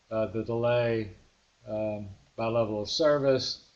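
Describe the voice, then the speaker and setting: A man's voice at medium pitch. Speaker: software trainer. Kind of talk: tutorial. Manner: halting.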